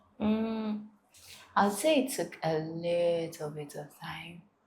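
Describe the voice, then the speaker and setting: Audible room echo surrounds a woman talking at a very slow pace with ordinary pitch variation. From Ghana, with childhood years in South Africa. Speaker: university student and content creator. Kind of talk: interview.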